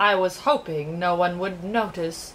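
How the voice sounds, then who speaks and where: A woman uses a put-on character voice at a medium pitch. Clear background noise is present. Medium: read story. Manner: regal, sorrowful.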